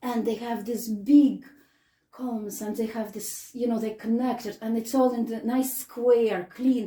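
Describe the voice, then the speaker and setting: A woman with a Russian accent speaks at a fairly slow pace, her fairly high pitch held in a monotone, flat intonation. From Russia, Samara. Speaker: guest. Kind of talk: casual chat.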